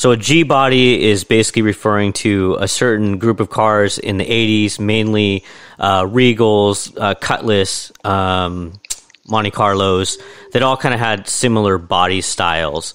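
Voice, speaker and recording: A man with an unremarkable speaking voice talks at a fairly slow pace and a fairly low pitch, with ordinary pitch variation. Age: 40s. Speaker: podcast host. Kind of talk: interview.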